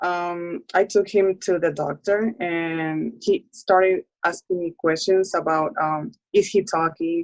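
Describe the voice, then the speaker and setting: With music in the background, a woman speaks at a very slow pace. Her pitch is fairly low, with ordinary pitch variation. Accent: Spanish. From Puerto Rico. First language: Spanish. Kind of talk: interview.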